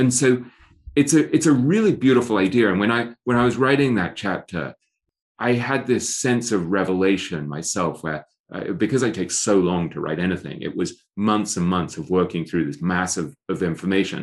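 Speaking at a moderate pace, a man with an English accent has a fairly low pitch and lively intonation. The background is quiet. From England. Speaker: author and investing writer. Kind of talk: podcast interview. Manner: self-deprecating, animated storyteller.

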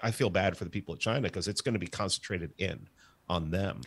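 A man with a very deep, low pitch and an American accent talks very fast with lively intonation in a very clean recording with a silent background. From New York, the Bronx. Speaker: podcast host and libertarian institute staffer. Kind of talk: casual debate.

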